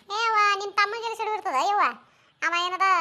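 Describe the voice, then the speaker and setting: A squeaky, put-on character voice from a woman, with ordinary pitch variation. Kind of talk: rustic comic dialogue. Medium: cartoon. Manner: rambling, fast.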